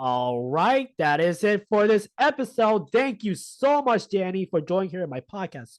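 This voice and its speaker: The voice moves at a moderate pace with hardly any pauses, very wide pitch swings and big swings in loudness. The sound is dry and close with no echo, against a quiet background. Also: man, high pitch for a man. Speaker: podcast host. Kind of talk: casual interview chat.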